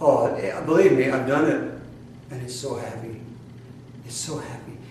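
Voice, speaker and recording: Audible room echo and noticeable background noise both surround a man as he talks. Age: 60s. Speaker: spiritual teacher. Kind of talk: sermon. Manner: animated.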